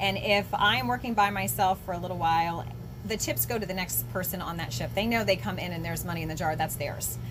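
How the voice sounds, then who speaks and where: Clear background noise fills the recording. Over it, a woman speaks very quickly. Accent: American. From Florida, East Coast. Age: 40s. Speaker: small business owner, former teacher. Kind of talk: interview. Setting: in her store.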